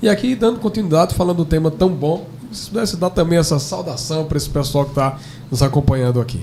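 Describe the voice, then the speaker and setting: Against noticeable background noise, a man with a northeastern Brazilian accent talks very fast at a fairly high pitch with lively intonation. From Brazilian Northeast. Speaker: pastor. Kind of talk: podcast conversation.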